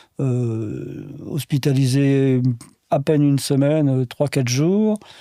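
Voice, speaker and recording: Very slowly, the speaker talks in a dark, mellow tone. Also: man, very clean recording, silent background. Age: 70s. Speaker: heart attack patient. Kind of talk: interview. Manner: halting.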